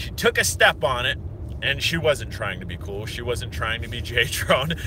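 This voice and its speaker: An American accent from a man at a moderate pace, with noticeable background noise. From Pennsylvania (Hershey). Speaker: drone reviewer / vlogger. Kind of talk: casual vlog monologue. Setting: in a car.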